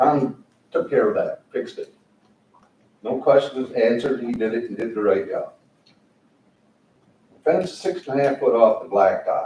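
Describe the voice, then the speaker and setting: Speaking with an American accent at a moderate pace, a man leaves long, frequent pauses. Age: 60s. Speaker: resident speaking at public comment. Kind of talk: public comment at meeting. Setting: county board meeting room.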